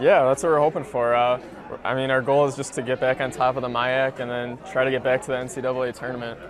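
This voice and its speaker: Very fast male speech at a medium pitch, fairly even in intonation, over noticeable background noise. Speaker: college soccer player. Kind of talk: interview. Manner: soft-spoken; halting.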